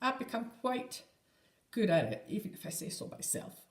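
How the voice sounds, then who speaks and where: At a fairly slow pace, a woman talks in a somewhat breathy voice with lively intonation. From Scotland, Edinburgh. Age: 60s. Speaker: crochet podcaster. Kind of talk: casual chat.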